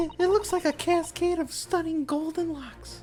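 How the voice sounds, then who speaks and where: A man puts on a squeaky character voice at an extremely high pitch, with clear background noise behind him. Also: moderate pace. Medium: game stream. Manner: polite, formal.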